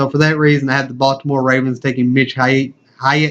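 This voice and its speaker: This man talks at a fairly high pitch in a monotone with flat intonation. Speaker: sports YouTuber. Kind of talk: casual sports commentary to camera.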